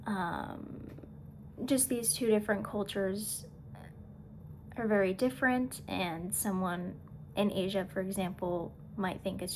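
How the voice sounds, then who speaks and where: With audible room echo, a woman in an American accent talks at a fairly slow pace. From USA. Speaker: student. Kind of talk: class presentation. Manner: halting.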